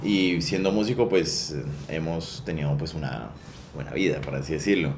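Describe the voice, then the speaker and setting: Amid noticeable background noise and audible room echo, a man with a very deep, low pitch talks at a moderate pace with lively intonation. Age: 20s. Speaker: sound recordist for film. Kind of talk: interview. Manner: hesitant, many fillers.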